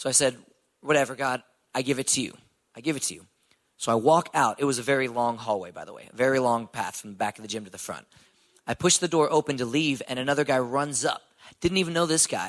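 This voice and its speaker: Talking very fast with an American accent, a man shows ordinary pitch variation and big swings in loudness. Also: medium pitch for a man. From Texas, Houston. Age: 20s. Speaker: ninja warrior competitor. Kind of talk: testimony. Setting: church.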